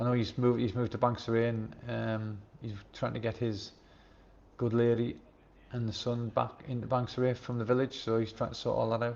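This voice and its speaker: Here a man speaks in a Sunderland accent. His delivery is fairly quick, with monotone, flat intonation. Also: medium pitch for a man. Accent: Sunderland (Mackem) English. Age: 60s. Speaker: YouTube livestreamer, expat retiree. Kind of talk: casual live stream chat reading viewer comments. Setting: live stream from home.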